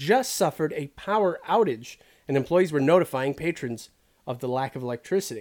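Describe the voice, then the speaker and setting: A man talks at a fairly quick pace in a normal speaking voice. His pitch is fairly high and his intonation lively. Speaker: comedy podcast co-host. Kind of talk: mock radio DJ banter, riffing comedy chat.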